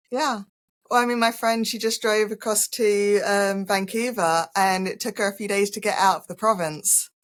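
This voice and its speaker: A woman speaks at a moderate pace and a medium pitch, her intonation fairly even. The recording is very clean, with a silent background. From England. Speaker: holistic healer and spiritual coach. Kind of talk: casual interview chat.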